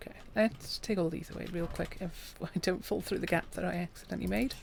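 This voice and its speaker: A soft-spoken woman talks at a fairly quick pace. Her tone is calm. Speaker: gaming streamer. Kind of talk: gameplay commentary. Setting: live stream.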